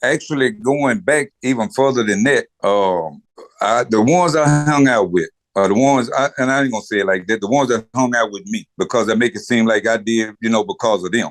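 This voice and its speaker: Using a normal speaking voice, a man at medium pitch speaks at a fairly quick pace with lively intonation. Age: 60s. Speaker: pastor. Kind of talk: casual chat.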